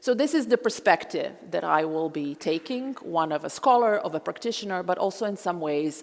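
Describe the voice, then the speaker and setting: Moderately paced, a woman with a fairly low pitch speaks with lively intonation. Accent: Croatian. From Croatia, Zagreb. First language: Croatian. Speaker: historian and genocide scholar. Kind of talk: public lecture.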